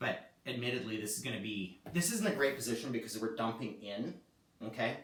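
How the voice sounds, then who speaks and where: In a room with audible echo, a man speaks at a moderate pace with ordinary pitch variation. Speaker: yoga teacher. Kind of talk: guided yoga class. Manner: casual, conversational; strained, shaky while holding plank.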